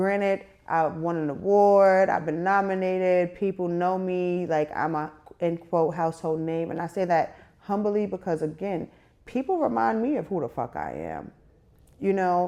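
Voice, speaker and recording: A woman with a New York accent talks at a moderate pace in a fairly low pitch, with ordinary pitch variation. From New York City. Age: 30s. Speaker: media personality. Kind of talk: interview.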